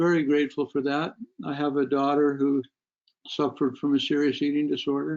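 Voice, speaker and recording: A man's fairly high-pitched, monotone, flat delivery at a fairly quick pace. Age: 60s. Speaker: psychologist. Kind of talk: webinar lecture. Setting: online webinar. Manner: halting, many fillers.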